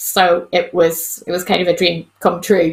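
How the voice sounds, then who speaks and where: A woman with a Northern Irish accent, fairly low in pitch, at a fairly slow pace, in a monotone with flat intonation. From Northern Ireland, County Antrim. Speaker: vet. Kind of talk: casual interview.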